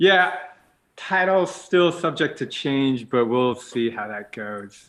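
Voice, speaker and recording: Speaking very slowly at a medium pitch, a man makes big swings in loudness. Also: lively intonation. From grew up internationally. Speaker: game developer and live stream host. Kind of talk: casual interview. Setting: live stream.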